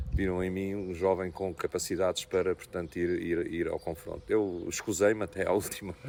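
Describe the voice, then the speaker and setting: A man's very deep, low voice at a moderate pace with ordinary pitch variation. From Portugal, Ribatejo (Azambuja area). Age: 60s. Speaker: local politician. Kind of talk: interview. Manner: halting, with many repetitions.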